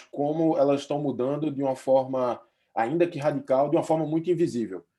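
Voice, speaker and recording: A Recife accent with a dark, mellow tone at a fairly quick pace, against a quiet background. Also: man. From Brazil, Recife. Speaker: futurist researcher. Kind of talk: webinar presentation.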